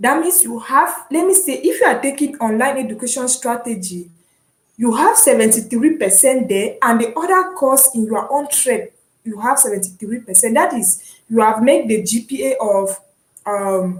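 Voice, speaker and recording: High-pitched woman's voice with lively intonation at a moderate pace. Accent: Cameroonian. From Cameroon (anglophone). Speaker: online university student, vlogger. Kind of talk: casual vlog, explaining. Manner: hesitant, with fillers and repetitions.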